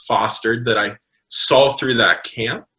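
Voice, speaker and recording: A man's plain, everyday voice at medium pitch, with an American accent and a moderate pace. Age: 20s. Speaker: pastor. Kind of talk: casual chat. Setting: podcast recording.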